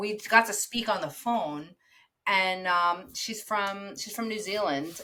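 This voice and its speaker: Bright and sharp in tone, a woman speaks with an American accent. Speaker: podcast co-host, dog groomer. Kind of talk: casual chat.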